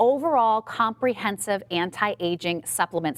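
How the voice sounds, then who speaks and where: A woman with a fairly high voice speaks at a moderate pace, her tone animated and her intonation lively, in a dry, close sound with no echo. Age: 30s. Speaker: home shopping TV host. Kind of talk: sales pitch.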